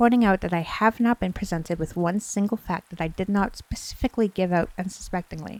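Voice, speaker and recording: Soft-spoken and medium in pitch, a woman talks with fairly even intonation in a dry, close sound with no echo. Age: 20s. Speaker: streamer and ASMR story reader. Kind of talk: creepypasta bedtime story reading. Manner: soft-spoken, cozy.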